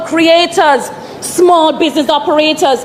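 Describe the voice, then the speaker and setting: With a Jamaican accent, a woman speaks at an extremely high pitch and fairly even intonation over noticeable background noise. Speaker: member of parliament. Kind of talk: parliamentary speech.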